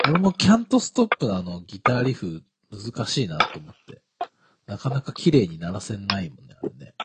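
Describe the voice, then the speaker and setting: A man at a medium pitch makes very wide pitch swings and big swings in loudness. The sound is dry and close, with no echo. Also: fairly quick pace. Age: 30s. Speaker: podcast co-host. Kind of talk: casual chat.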